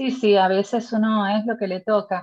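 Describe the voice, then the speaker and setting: A woman's voice, somewhat breathy, sits at a fairly high pitch. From Puerto Rico. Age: 40s. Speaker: podcast host, lawyer. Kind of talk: casual interview chat.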